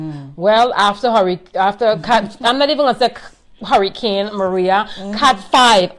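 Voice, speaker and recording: The voice has lively intonation and an American accent at a moderate pace. The background is quiet. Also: woman. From US Virgin Islands, St. Croix; US Virgin Islands. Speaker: boutique owner, entrepreneur; interview guest. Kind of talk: personal testimony in live interview. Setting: live video stream. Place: home room.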